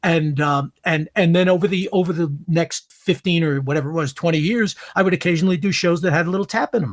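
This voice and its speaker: The speech comes at a very fast pace in a Brooklyn accent, with hardly any pauses. Pitch varies in an ordinary way, and the sound is dry and close with no echo. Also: man, high pitch for a man. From New York (Brooklyn). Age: 70s. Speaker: veteran actor. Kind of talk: casual chat. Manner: halting.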